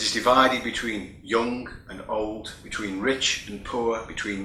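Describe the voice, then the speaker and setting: A man talks at a fairly low pitch with audible room echo. Noticeable background noise runs underneath. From United Kingdom. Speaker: keynote speaker, EU vocational training official. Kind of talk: keynote speech. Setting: recorded remotely, not present in person. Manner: formal.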